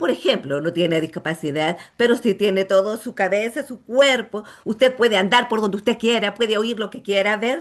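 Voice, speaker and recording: A woman speaks in a plain, everyday voice at a moderate pace, her pitch fairly high. Her loudness swings widely. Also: lively intonation. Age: 60s. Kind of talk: testimony.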